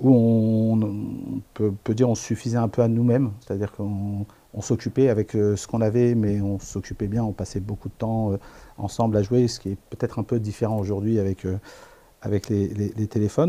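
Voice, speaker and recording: In a dark, mellow tone, a man speaks at a moderate pace with fairly even intonation. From Paris suburbs, France. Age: 50s. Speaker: author. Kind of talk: interview. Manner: hesitant, many fillers.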